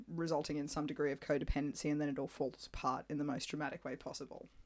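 Speaking at a very fast pace with an Australian accent, a woman with a very deep, low pitch comes through on a very clean recording with a silent background. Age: 30s. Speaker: podcast co-host. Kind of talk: casual chat.

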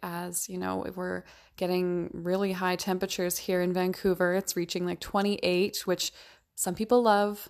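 An ordinary speaking voice with fairly even intonation moves at a moderate pace in a very clean recording with a silent background. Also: woman. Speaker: podcast host and minimalism coach. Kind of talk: solo podcast monologue.

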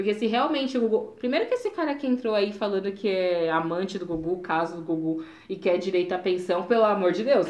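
A woman talks at a very fast pace with hardly any pauses. Her medium-pitched voice has ordinary pitch variation. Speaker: podcast co-host. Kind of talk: casual chat.

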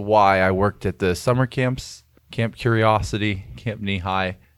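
On a very clean recording with a silent background, a man with an ordinary speaking voice talks fairly low and at a moderate pace, his intonation fairly even. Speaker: youth pastor. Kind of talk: casual interview.

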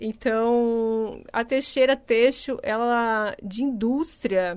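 Very slowly, a woman talks in a fairly high voice whose intonation stays fairly even. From Paraná, Brazil, then Santa Catarina from age 12. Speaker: company executive director. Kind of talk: radio interview.

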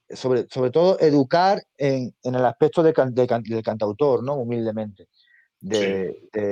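Recorded dry and close with no echo over a quiet background, a man with a dark, mellow tone and medium pitch speaks with lively intonation. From Spain, Andalusia (Seville province). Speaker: singer-songwriter. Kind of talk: interview. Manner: halting, with frequent word repetitions.

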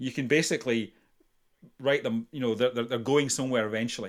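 On a very clean recording with a silent background, a man with a Scottish accent talks at a medium pitch with ordinary pitch variation. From Scotland. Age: 50s. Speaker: retired police officer, violence prevention trainer. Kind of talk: interview conversation. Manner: halting, frequent repetitions.

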